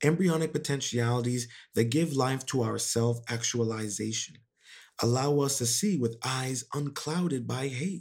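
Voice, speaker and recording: A man's somewhat breathy voice stays at a medium pitch while its pitch varies in an ordinary way. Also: moderate pace, very clean recording, silent background. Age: 20s. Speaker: podcast host. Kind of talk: motivational monologue. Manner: casual with many fillers.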